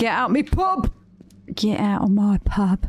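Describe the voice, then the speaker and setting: A woman talks with lively intonation while noticeable noise sits in the background. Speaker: video game streamer. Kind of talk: live gameplay commentary. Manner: animated.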